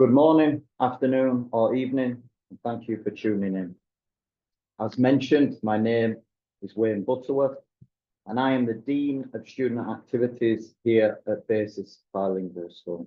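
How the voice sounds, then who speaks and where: A man with a Yorkshire accent, medium-pitched, at a moderate pace, with ordinary pitch variation and big swings in loudness. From northern England, Wakefield, West Yorkshire. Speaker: school dean. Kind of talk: webinar presentation.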